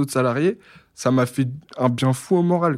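A normal speaking voice from a man at medium pitch, with ordinary pitch variation, in a very clean recording with a silent background. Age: 20s. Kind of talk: testimony.

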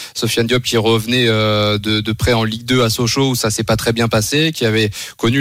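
Using an unremarkable speaking voice, a man speaks at a medium pitch and moderate pace with fairly even intonation. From France, Le Mans area. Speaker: football correspondent. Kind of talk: radio report and analysis.

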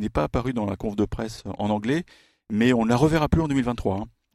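The recording is very clean, with a silent background and a dry, close sound lacking echo. A man speaks in a dark, mellow tone with ordinary pitch variation. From France. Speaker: tennis journalist. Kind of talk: casual chat.

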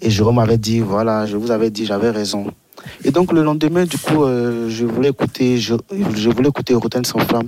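A man's unremarkable speaking voice at medium pitch and moderate pace, with ordinary pitch variation and a dry, close sound with no echo. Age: 20s. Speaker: radio listener caller. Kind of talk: radio call-in.

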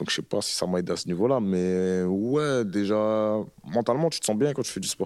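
A man with a fairly low pitch and ordinary pitch variation speaks in an unremarkable speaking voice. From northern France, Roubaix. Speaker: rapper. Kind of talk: casual interview chat.

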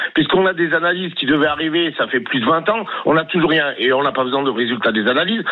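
A man at a very fast pace, fairly high in pitch, with lively intonation and noticeable background noise. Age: 50s. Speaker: caller, metro driver. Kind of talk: radio call-in opinion. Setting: phone call.

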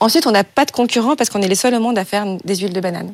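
A woman talks at a very fast pace, her medium pitch rising and falling in an ordinary way. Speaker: startup founder. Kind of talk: pitch and Q&A.

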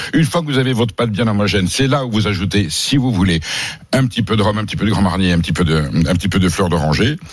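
Here is a man with a fairly low pitch and lively intonation. His pace is very fast and his loudness very even. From southern France. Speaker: food columnist. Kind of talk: radio chat; recipe tutorial.

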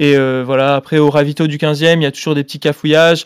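In a very clean recording with a silent background, a man speaks. His fairly high voice stays flat and monotone. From France, Grenoble. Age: 20s. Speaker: marathon runner. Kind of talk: casual interview.

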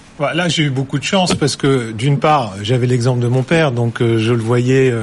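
Over noticeable background noise, a man speaks at a moderate pace and a medium pitch with ordinary pitch variation. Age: 40s. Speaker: company CEO. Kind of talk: studio interview.

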